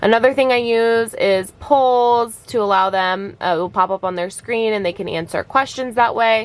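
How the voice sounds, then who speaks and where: A woman's plain, everyday voice, fairly high in pitch, with ordinary pitch variation and a moderate pace. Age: 20s. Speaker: virtual special education teacher. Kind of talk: tutorial. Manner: casual, with many fillers.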